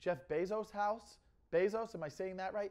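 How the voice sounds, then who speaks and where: This is a man speaking. The background is quiet. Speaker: comedian vlogger. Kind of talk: casual vlog chat. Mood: amused, joking. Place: home room. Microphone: lapel.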